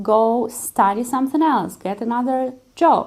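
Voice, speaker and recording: Speaking at a very slow pace, a woman with a Russian accent uses a fairly high pitch. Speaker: concert pianist. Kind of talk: vlog monologue.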